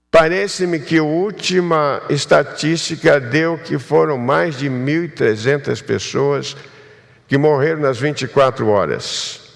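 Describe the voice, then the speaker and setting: Speaking very slowly, a man's voice carries audible room echo. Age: 70s. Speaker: pastor. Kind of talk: sermon.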